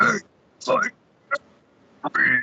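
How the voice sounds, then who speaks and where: The speaker uses a put-on character voice that is growling and guttural. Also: man, extremely high pitch for a man. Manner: gurgling like gargling.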